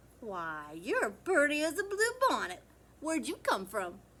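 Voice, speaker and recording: In a put-on character voice with a Texan accent, the speaker keeps a moderate pace. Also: woman, high pitch for a woman. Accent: Texan drawl. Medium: read story. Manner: warm, motherly.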